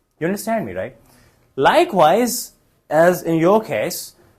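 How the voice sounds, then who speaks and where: This man's voice is high and swings very widely in pitch. He speaks with a Pakistani accent. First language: Urdu. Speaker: English test trainer, former examiner. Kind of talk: Q&A teaching session.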